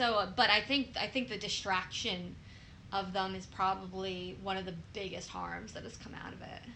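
A woman's voice with vocal fry, ordinary pitch variation and big swings in loudness, plus audible echo from the room. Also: medium pitch for a woman, moderate pace. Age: 20s. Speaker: podcast co-host and nurse. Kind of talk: casual chat.

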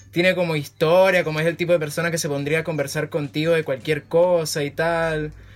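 The man's voice sits fairly high, and he talks at a fairly quick pace. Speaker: podcast host. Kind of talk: casual chat.

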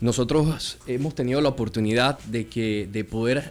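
A man with a Panamanian accent, medium in pitch, fairly slow and fairly even in intonation. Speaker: football league commissioner. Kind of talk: radio interview.

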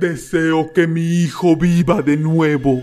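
A man's shaky, put-on character voice at a fairly high pitch and fairly slow pace. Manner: terrified, trembling.

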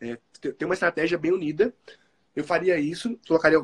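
A man at a fairly quick pace, dry and close with no echo. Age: 20s. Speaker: entrepreneur and programmer. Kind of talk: interview.

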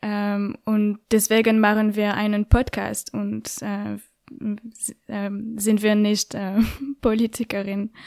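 A woman with a French accent speaks at a very slow pace in a fairly high voice. Her intonation is monotone and flat, and the sound is dry and close with no echo. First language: French (speaking German). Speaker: podcaster and journalist. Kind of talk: interview. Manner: halting, many fillers.

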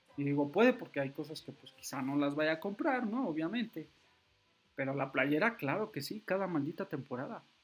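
Moderate pace, lively intonation and big swings in loudness. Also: man, fairly high pitch for a man. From Mexico City area. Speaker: football fan podcaster. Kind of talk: solo football commentary podcast. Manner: halting, many fillers.

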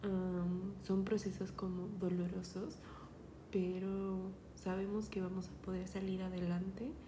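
A woman with a Mexico City accent speaks at medium pitch with monotone, flat intonation and a very slow pace. Audible room echo and noticeable background noise are present. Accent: Mexican Spanish (Mexico City). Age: 20s. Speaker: podcaster. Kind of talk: personal monologue podcast. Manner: hesitant, many fillers.

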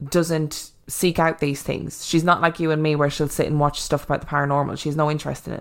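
A woman with an Irish accent talks at a very fast pace with hardly any pauses. Her very deep, low voice holds a monotone, flat intonation. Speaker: podcast host. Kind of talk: casual chat.

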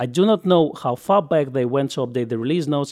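This man has a normal speaking voice, fairly high in pitch, with lively intonation at a fairly quick pace. The recording is very clean with a silent background and a dry, close sound with no echo. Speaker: camera news podcast host. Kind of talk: casual news roundup podcast.

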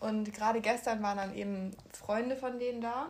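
A woman speaks at a fairly slow pace in a fairly high pitch, her intonation fairly even. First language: bilingual, German plus another language (speaking German). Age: 19, young. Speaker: podcast co-host. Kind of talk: casual chat.

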